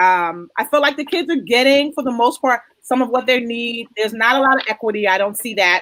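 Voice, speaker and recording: A woman speaks loudly at a fairly quick pace, her high-pitched voice animated in tone and lively in intonation. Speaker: talk show host. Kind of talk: casual panel discussion.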